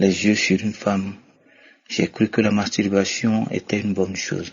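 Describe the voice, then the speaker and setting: A man's fairly low voice at a fairly slow pace. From Togo. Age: 50s. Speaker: testimony giver. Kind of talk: testimony.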